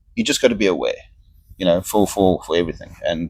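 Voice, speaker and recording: A man talking at a very fast pace. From Namibia. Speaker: cruise ship crew member. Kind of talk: casual interview.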